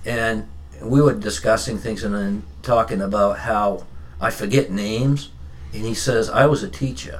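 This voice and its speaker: A man with an American accent and a fairly low pitch speaks at a moderate pace with very wide pitch swings, amid audible room echo and noticeable background noise. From Maine, US (Standish/Raymond area). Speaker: powerlifter. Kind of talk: casual chat. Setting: studio.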